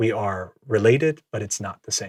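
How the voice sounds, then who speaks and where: A man speaks in a somewhat breathy voice at a fairly low pitch. The recording is very clean, with a silent background. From Minnesota (Twin Cities), born in American Samoa. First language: Samoan. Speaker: podcast guest. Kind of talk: casual interview chat. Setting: studio.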